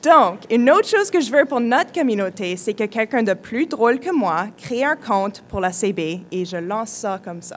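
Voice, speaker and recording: A woman speaks at a fairly high pitch. Her pitch swings very widely and her loudness shifts a lot. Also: moderate pace, hardly any pauses. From British Columbia, Canada (francophone, Quebecois parents). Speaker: youth community leader, speaker. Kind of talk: conference talk.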